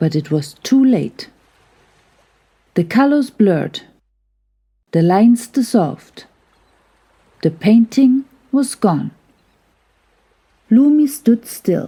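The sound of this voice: A woman's dark, mellow voice with a slightly husky edge, big pitch swings, a very slow pace and long, frequent pauses. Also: fairly high pitch for a woman.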